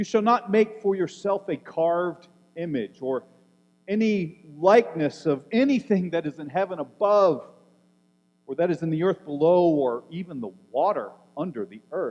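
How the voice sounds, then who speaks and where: A man speaks in a high voice at a moderate pace. His intonation is lively, and his volume rises and falls sharply. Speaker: preacher. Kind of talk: sermon delivered in church.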